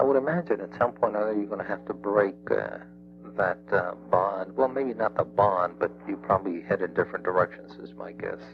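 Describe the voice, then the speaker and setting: With music in the background, a man in an American accent talks at a fairly quick pace. His pitch is very deep and low, yet it makes very wide swings. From South Texas. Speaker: FBI negotiator. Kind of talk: phone negotiation chat. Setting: phone call.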